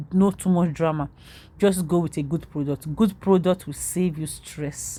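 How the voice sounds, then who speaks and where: On a very clean recording with a silent background, a woman speaks at a moderate pace in a fairly low, somewhat breathy voice, dark and mellow in tone, with fairly even intonation. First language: not English. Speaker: makeup vlogger. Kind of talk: tutorial.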